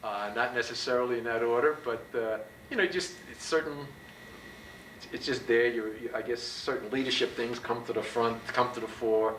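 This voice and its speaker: Speaking with an American accent at a moderate pace, a man with a medium pitch and ordinary pitch variation is heard over noticeable background noise, with audible room echo. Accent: slight Brooklyn-New Jersey trace. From Bayonne, New Jersey. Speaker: university professor and former basketball coach. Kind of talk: oral history interview. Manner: loud, outspoken; halting with many fillers.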